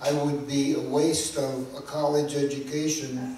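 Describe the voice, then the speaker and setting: Amid noticeable background noise and audible room echo, a man speaks very slowly with monotone, flat intonation. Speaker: speaker sharing story of stuttering. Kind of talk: testimony. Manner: halting.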